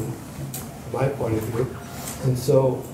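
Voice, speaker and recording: Through noticeable background noise and audible room echo, a man speaks with monotone, flat intonation. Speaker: audience member. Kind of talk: audience discussion. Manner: halting. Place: meeting room. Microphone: camera far.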